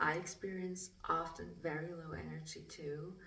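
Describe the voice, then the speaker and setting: A woman with a non-native accent speaks at a very deep, low pitch and a fairly slow pace. Her intonation is monotone and flat, with audible room echo. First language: German. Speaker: spiritual artist. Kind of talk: casual vlog talk. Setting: art studio. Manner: halting.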